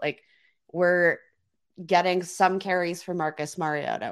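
The background is quiet as a woman speaks at a moderate pace. Her intonation is monotone and flat. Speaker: fantasy football podcast co-host. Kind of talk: casual chat about fantasy football.

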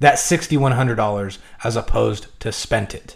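Somewhat breathy, a man speaks at a fairly quick pace with an American accent. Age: 20s. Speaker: personal finance YouTuber. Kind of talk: tutorial.

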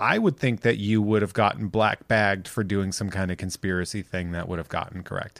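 Fairly quick and with hardly any pauses, a man speaks in a normal speaking voice at a fairly low pitch with fairly even intonation. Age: 40s. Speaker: podcast co-host, comedian. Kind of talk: casual chat. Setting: video call.

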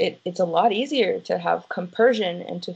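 This voice is an ordinary speaking voice. It moves at a moderate pace with ordinary pitch variation. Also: woman. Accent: American. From United States. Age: 30s. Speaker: polyamorous interviewee. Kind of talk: interview.

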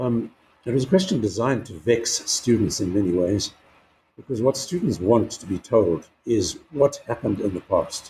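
A man with a dark, mellow tone and a somewhat breathy voice speaks at a moderate pace in a medium pitch, his intonation lively. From South Africa, KwaZulu-Natal. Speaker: retired history professor. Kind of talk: interview.

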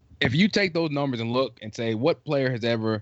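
A man's voice with ordinary pitch variation. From South Carolina. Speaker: basketball analyst. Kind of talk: casual chat. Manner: energetic. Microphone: buffering connection.

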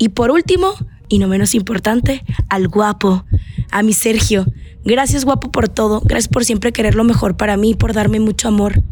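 Ordinary pitch variation, a moderate pace and very even loudness, with music in the background. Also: woman, fairly high pitch for a woman. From Mexico, Sonora (Navojoa). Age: 20s. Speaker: radio presenter and podcaster. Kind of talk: personal monologue podcast.

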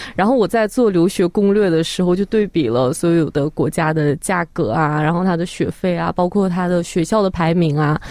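A woman with a normal speaking voice talks at a moderate pace, fairly low in pitch, with ordinary pitch variation. Her loudness stays very even and she hardly pauses. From Xinjiang, northwest China. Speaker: social media video creator. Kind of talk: radio interview.

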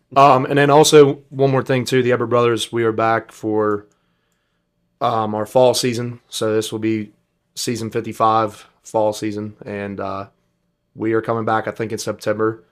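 A man with an ordinary speaking voice talks at a moderate pace and a medium pitch. The recording is very clean, with a silent background. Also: fairly even intonation. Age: 20s. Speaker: singer. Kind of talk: casual chat.

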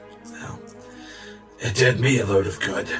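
A man uses a raspy, put-on character voice at a moderate pace. Music plays clearly in the background. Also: fairly low pitch for a man. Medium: actual play. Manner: dry, offhand.

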